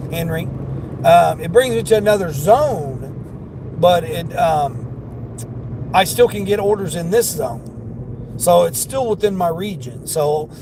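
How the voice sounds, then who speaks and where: A man's high voice with a Southern accent, lively intonation, a fairly slow pace and long, frequent pauses over noticeable background noise. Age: 50s. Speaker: delivery driver and livestreamer. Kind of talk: casual livestream chat.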